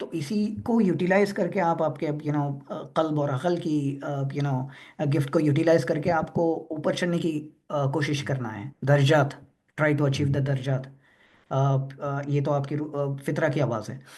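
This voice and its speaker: A man with a fairly high pitch and ordinary pitch variation speaks in a somewhat breathy voice, with audible room echo. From Hyderabad, India. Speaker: presenter at a religious discussion forum. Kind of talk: Q&A answer in an online discussion forum. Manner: halting, many fillers; Hindi-English code-switching.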